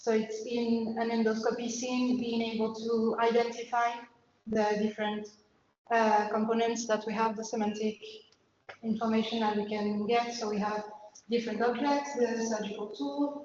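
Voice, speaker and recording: In a French accent, a woman with a fairly high pitch speaks in a monotone, flat intonation at a moderate pace, with audible room echo. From France. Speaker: PhD researcher. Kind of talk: lecture. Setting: invited talk. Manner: halting, many fillers.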